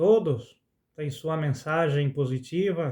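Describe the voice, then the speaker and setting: The speaker goes at a very slow pace, sounding somewhat breathy, with ordinary pitch variation. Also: man. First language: Spanish (speaking Portuguese). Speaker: spiritual content creator, songwriter. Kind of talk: spoken reflection monologue. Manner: halting.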